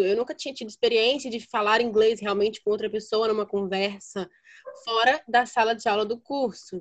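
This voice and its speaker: Moderate pace from a woman, an ordinary speaking voice pitched fairly high. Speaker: podcast host. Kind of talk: casual chat.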